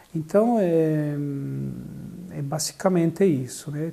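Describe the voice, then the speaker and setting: Speaking at a fairly slow pace with a Bolivian accent, a man has a fairly high pitch and a dark, mellow tone. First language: Spanish (speaking Portuguese). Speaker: social services coordinator. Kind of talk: interview testimony. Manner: hesitant, with fillers.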